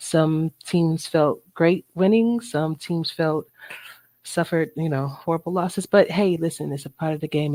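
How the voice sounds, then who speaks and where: Soft-spoken, a woman with a very deep, low pitch and a dark, mellow tone talks at a moderate pace. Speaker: podcast host. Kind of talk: casual podcast talk.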